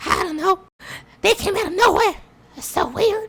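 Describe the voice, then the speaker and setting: This is a put-on character voice, squeaky and extremely high. It moves along at a moderate pace. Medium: actual play.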